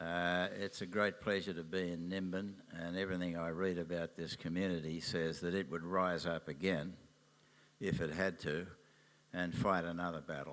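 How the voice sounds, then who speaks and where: In an Australian accent, a man talks at a moderate pace with a very deep, low pitch and monotone, flat intonation. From Australia, Sydney. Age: 80s+. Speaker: businessman and environmental activist. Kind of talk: interview at a public event.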